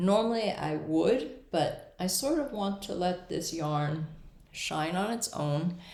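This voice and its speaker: The delivery is very slow, with lively intonation. Audible room echo can be heard. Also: woman. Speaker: knitting podcaster. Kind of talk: casual chat. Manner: hesitant with fillers.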